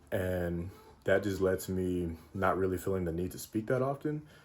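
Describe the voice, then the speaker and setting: A man speaks quietly at a moderate pace. His pitch is very deep and low. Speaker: travel vlogger. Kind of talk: casual vlog talk. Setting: in a car. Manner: quiet, reserved; soft-spoken.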